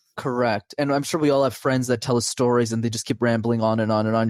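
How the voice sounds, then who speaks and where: Very fast speech from a man at medium pitch, with fairly even intonation and a dry, close sound with no echo. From Quebec, Montreal. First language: French. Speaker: communication coach. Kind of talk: podcast interview.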